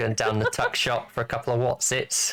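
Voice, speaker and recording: A man does a put-on character voice in a Southern English accent, raspy and medium in pitch. He moves at a fairly quick pace. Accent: stereotypical Southern English. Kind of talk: casual, colloquial British slang. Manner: mock, exaggerated.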